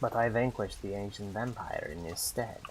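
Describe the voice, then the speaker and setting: A man's put-on character voice at a medium pitch, fairly quick in pace, over clear background noise. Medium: game stream. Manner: grandiose, oddly worded.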